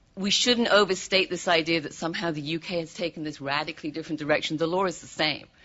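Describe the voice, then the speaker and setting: Very fast and with hardly any pauses, a woman with a British accent speaks at a fairly low pitch with fairly even intonation. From Britain. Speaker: law professor. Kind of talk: audience comment at panel discussion.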